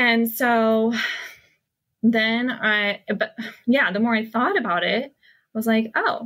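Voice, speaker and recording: A woman speaks very slowly at a fairly high pitch. Her tone is bright and sharp, her intonation fairly even. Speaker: hypnotherapist and coach. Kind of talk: casual interview chat. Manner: casual, many fillers.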